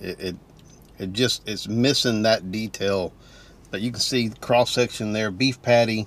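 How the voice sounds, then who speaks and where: In a dry recording with no echo, a man with an ordinary speaking voice talks at a moderate pace and fairly low pitch, with ordinary pitch variation. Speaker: food reviewer. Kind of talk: casual vlog chat. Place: car.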